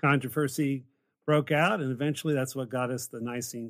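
Fairly even intonation from a man with an ordinary speaking voice, medium in pitch and moderate in pace. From West Virginia, later Pennsylvania. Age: 50s. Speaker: pastor and professor. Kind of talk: casual theological discussion.

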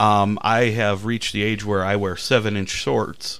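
With an American accent, a man talks at a fairly low pitch over noticeable background noise. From Indiana, US Midwest. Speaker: stand-up comedian. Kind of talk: casual chat. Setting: studio.

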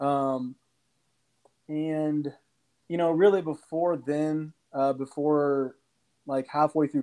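With a Midwestern US accent, the speaker goes at a very slow pace in a monotone, flat intonation against a quiet background. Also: man. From Kansas City, Missouri. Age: 20s. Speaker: insurance broker. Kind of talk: casual chat.

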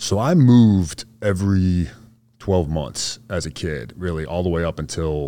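A man's very deep, low voice with a dark, mellow tone and an American accent, lively intonation at a fairly slow pace, on a very clean recording with a silent background. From Boston area, US. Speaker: Green Beret soldier, amputee. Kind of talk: casual interview.

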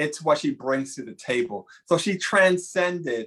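With an American accent, a man talks fairly slowly in a normal speaking voice, his pitch fairly high with ordinary variation. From New York, the Bronx. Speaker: Broadway costume designer. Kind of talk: casual chat.

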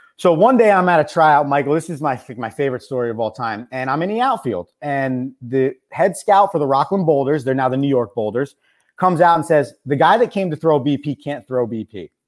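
A man with a plain, everyday voice, fairly high in pitch, lively in intonation, at a fairly quick pace with hardly any pauses, on a very clean recording with a silent background. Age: 20s. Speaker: college baseball coach and radio host. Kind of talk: casual chat.

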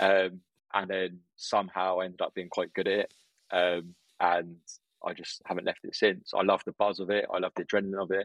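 Speaking in a southern English accent, a man with a very deep, low pitch talks at a fairly quick pace in a monotone, flat intonation, with a dry, close sound and no echo. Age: 20s. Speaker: restaurant owner. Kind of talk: casual interview.

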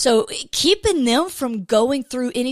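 Over a silent background on a very clean recording, a woman with a Southern US accent speaks in an animated tone with lively intonation. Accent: Southern American. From US South, Georgia. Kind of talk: casual devotional monologue.

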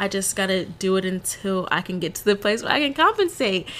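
The speaker is a woman with an American accent. Her tone is bright and sharp. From Texas. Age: 20s. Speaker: podcast host. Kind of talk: casual solo monologue. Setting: home recording.

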